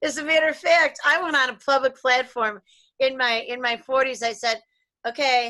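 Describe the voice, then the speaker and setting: Against a quiet background, a woman with a high pitch and a bright, sharp tone speaks in a raised, projected voice at a moderate pace. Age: 60s. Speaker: relationship therapist and talk show host. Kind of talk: casual chat.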